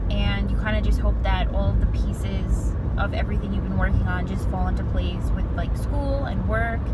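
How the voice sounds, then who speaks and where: The pace of speaking is moderate. Behind it, the background noise is loud. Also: woman. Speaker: vlogger. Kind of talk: casual vlog chat. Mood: chatty, mildly annoyed. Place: car. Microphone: phone near.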